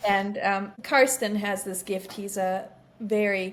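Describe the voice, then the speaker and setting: A woman's medium-pitched voice with a German accent, flat and monotone in intonation. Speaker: beekeeper and bee sanctuary founder. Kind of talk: casual interview.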